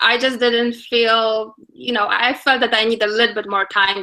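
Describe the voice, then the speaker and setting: With a Polish accent, a woman speaks at a moderate pace in a fairly high pitch, her tone bright and sharp. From Poland. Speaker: attorney. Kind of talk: interview.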